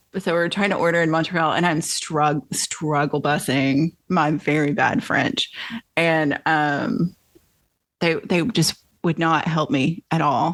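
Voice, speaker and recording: A woman at a fairly low pitch with a slight Southern US accent, fairly slow pace, ordinary pitch variation and very even loudness. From US South. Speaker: podcast host and author. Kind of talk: casual interview chat.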